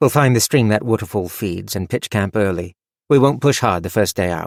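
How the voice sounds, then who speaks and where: In a growling, put-on character voice at a fairly low pitch, a man speaks at a moderate pace with lively intonation on a very clean recording with a silent background. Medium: read story. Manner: calm, measured.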